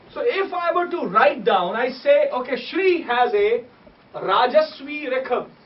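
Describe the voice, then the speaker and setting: With a Punjabi accent, a man talks at a fairly slow pace in an extremely high pitch with lively intonation, against noticeable background noise. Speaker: musician and scholar of sacred music. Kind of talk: lecture.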